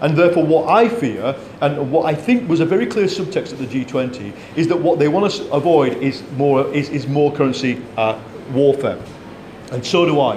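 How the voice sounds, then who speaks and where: A man's fairly high voice at a moderate pace, with lively intonation, audible room echo, and light background noise. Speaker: economics commentator. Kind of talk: panel discussion. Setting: stage with audience. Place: meeting room.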